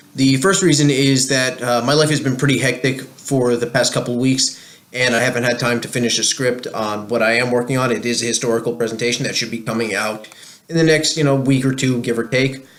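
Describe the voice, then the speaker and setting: With a New Jersey accent, a man speaks at a medium pitch and fairly even intonation over noticeable background noise. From New Jersey, USA. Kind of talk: casual talk to camera.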